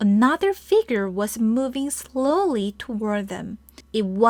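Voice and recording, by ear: Reading aloud in a natural voice. The intonation is lively.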